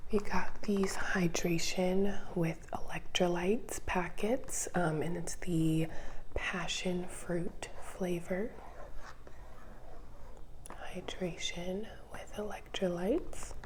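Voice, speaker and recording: A woman's soft-spoken, calm, relaxed tone at medium pitch, with fairly even intonation, a very slow pace, and long, frequent pauses. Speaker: ASMR content creator. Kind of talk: soft-spoken ASMR grocery haul show and tell.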